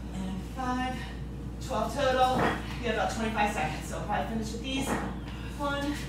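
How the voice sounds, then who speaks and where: A woman at a moderate pace in a room with audible echo and loud background noise. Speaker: fitness instructor. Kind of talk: workout instruction. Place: garage.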